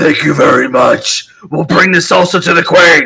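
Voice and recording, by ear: Doing a put-on character voice, a man sounds raspy and high-pitched, keeping a moderate pace and lively intonation.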